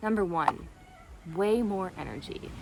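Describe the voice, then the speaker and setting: A woman speaks with a Canadian accent. Noticeable background noise and audible room echo are present. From Canada, Toronto. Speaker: video blogger. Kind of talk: casual vlog monologue. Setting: outdoors by the sea. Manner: fast.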